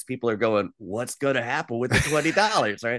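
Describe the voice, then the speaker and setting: A man with an American accent speaks at a medium pitch. The sound is dry and close with no echo, over a quiet background. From US South, western North Carolina (Asheville). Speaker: trade show presenter and mentalist entertainer. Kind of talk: interview. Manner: animated.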